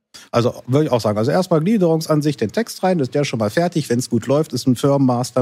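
On a very clean recording with a silent background, a man speaks very fast in a dark, mellow, fairly high-pitched voice with lively intonation. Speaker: podcast host and software trainer. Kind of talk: casual chat.

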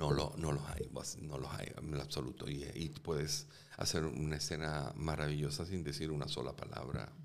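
A man with a very deep, low voice speaks in a monotone, flat intonation at a moderate pace. Audible room echo surrounds his words. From Venezuela (Caracas). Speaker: actor and film director. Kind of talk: interview conversation. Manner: halting, repeats words.

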